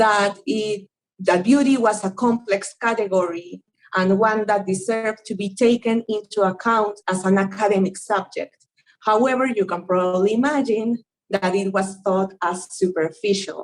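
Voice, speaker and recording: Speaking fairly slowly in a strong Spanish accent, a woman keeps a medium pitch and fairly even intonation. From Peru. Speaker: anthropologist. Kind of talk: academic seminar talk. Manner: partly reading from notes.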